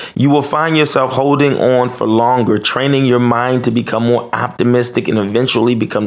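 A man at medium pitch and moderate pace, animated and upbeat in tone, with noticeable background noise. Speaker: podcast host. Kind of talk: pep talk; motivational monologue. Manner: animated, upbeat, encouraging.

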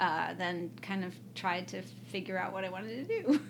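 Audible room echo surrounds a woman talking at a moderate pace and a medium pitch. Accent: American. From US Midwest, Evanston, Illinois (Chicago area). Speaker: political science professor. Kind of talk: casual interview chat. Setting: recorded at an academic conference.

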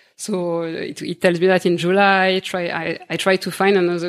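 A woman with a slight French accent speaks at a moderate pace in a fairly low voice with monotone, flat intonation, on a very clean recording with a silent background. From Réunion Island. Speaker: podcast guest. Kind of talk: casual interview, personal story. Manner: halting.

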